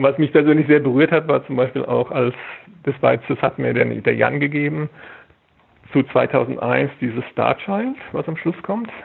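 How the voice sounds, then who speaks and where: A man at a moderate pace, pausing long and often. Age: 50s. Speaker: film archivist. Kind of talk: interview. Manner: halting, repeats words.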